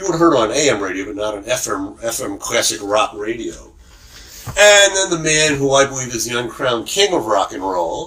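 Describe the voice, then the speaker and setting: The talking goes at a fairly quick pace with noticeable background noise. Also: man. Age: 60s. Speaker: podcaster. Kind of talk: rant. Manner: halting.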